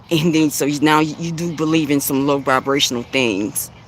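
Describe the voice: A woman talks at an extremely low pitch. Her pace is fairly quick and her intonation fairly even.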